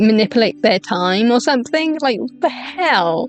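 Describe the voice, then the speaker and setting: A woman speaks at a fairly slow pace and a high pitch, her voice making very wide pitch swings. Music plays in the background. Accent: Welsh. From Wales. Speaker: VTuber streamer. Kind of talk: live stream commentary reading a document. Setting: home live stream at night. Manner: stuttering; kept quiet, not loud.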